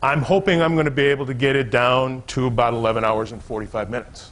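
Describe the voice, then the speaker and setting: A man with a plain, everyday voice at a moderate pace and ordinary pitch variation. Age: 60s. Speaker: business coach. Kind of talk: seminar talk to a live audience. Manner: conversational, some false starts.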